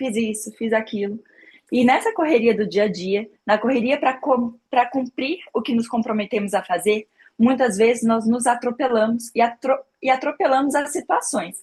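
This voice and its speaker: A woman speaks in a high voice with ordinary pitch variation. Her pace is moderate. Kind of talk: informal faith talk.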